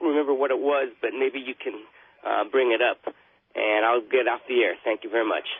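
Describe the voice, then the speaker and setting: A man's voice with lively intonation. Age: 60s. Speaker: caller. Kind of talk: radio call-in question. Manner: halting.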